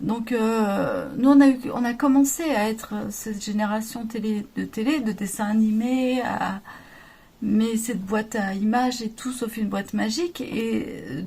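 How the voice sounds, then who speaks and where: A woman talks at a fairly slow pace, her fairly high pitch carrying a dark, mellow tone that is somewhat breathy, with ordinary pitch variation. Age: 40s. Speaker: crafts youtuber. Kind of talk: podcast-style monologue. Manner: hesitant, many fillers.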